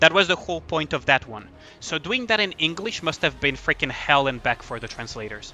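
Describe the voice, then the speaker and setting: Over music in the background, a man with a non-native accent talks at a fairly quick pace, his fairly high voice making very wide pitch swings and big swings in loudness. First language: not English. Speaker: gaming streamer. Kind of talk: live game stream chat. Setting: live stream. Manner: casual, halting with fillers.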